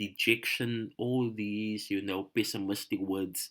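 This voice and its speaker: A man talks at a very slow pace and a medium pitch, with fairly even intonation. The recording is very clean, with a silent background. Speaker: high school English teacher. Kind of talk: tutorial. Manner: halting, many fillers.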